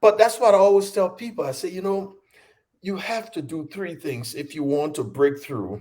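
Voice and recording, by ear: In a dark, mellow tone, a man speaks with a high pitch at a moderate pace and ordinary pitch variation.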